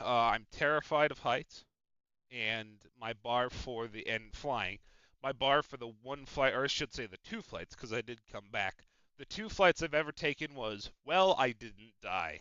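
Speaking at a fairly slow pace, a man with a medium pitch sounds animated, his loudness swinging widely. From Chicago area, US Midwest. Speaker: podcast host of a simulated baseball league team. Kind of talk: casual chat. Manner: profane, animated.

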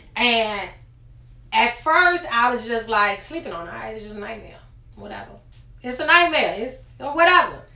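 A woman with a fairly high voice talks with very wide pitch swings, big shifts in loudness and long, frequent pauses. Noticeable background noise and audible room echo surround her. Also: moderate pace. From Richmond, Virginia, US. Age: 20s. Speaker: podcast guest sharing personal story. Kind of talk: testimony.

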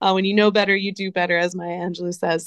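A woman with a New Jersey accent speaks in a fairly low pitch with monotone, flat intonation. The sound is dry and close, with no echo. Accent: American, New Jersey. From US, New Jersey. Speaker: nonprofit founder and charity CEO. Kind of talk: interview.

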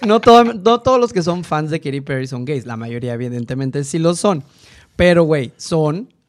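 A man's fairly high voice makes very wide pitch swings as he talks at a fairly slow pace. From northeastern Mexico (Tamaulipas). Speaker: designer and podcaster. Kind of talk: casual chat.

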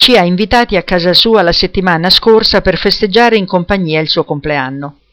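The pitch shows ordinary variation while the text is read aloud in a natural voice.

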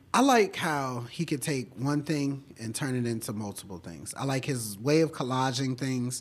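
With an American accent, a man uses an unremarkable speaking voice at a medium pitch, ordinary pitch variation and a moderate pace with hardly any pauses. The recording is very clean, with a silent background. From Washington, D.C. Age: 20s. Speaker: painter. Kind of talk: casual interview. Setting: art gallery.

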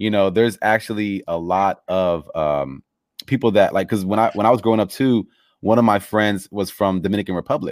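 In a very clean recording with a silent background, a man with an American accent and fairly low pitch talks at a fairly quick pace with ordinary pitch variation. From Los Angeles, US. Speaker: podcast host. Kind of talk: interview. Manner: halting.

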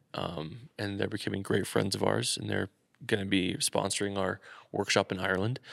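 A man's fairly low voice with vocal fry, ordinary pitch variation and a moderate pace, in a dry, close sound with no echo. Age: 20s. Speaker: podcast co-host and wedding videographer. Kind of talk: casual chat. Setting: echoey garage studio. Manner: casual, chatty, interrupts often.

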